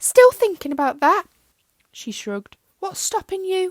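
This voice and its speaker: The speaker uses a put-on character voice, raised and projected, at a moderate pace. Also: woman, extremely high pitch for a woman. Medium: read story. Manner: blunt, sharp.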